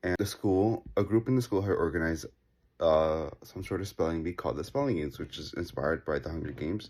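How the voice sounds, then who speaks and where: A man's very deep, low voice at a very fast pace with lively intonation, in a very clean recording with a silent background. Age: 20s. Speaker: interviewee sharing a personal story. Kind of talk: personal anecdote.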